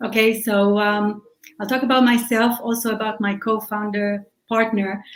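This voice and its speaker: Fairly high in pitch, a woman with an Israeli accent speaks in a monotone, flat intonation at a moderate pace. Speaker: startup founder and CEO. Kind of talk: podcast interview.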